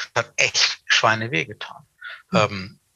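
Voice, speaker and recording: This man's voice has a bright, sharp tone. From Hannover, northern Germany. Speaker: event industry veteran. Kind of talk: casual interview.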